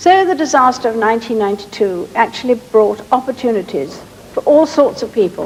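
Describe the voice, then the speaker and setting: Over noticeable background noise, a woman with a British accent talks at a moderate pace in a fairly high voice. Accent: British received pronunciation. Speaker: monarch. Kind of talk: formal royal speech.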